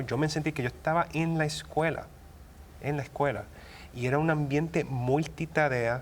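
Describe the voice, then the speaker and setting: A man talks at a fairly slow pace. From Puerto Rico. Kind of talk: interview answer. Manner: hesitant, many fillers.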